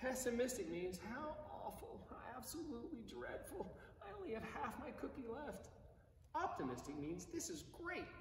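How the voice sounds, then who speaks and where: A man uses an extremely high pitch with very wide pitch swings in a playful, animated tone. Audible room echo and light background noise are in the recording. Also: moderate pace. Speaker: priest. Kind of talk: bedtime story read aloud to children, gentle and cozy, between prayers; compline service, liturgical prayer. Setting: online video service from church, addressing viewers. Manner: playful, expressive storyteller voice, lightly animated. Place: church. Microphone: camera far.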